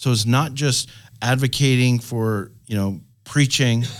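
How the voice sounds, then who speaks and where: A man talks in an unremarkable speaking voice with fairly even intonation. The recording is very clean, with a silent background. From Canada. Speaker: pastor and ministry network leader. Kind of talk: panel discussion. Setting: studio.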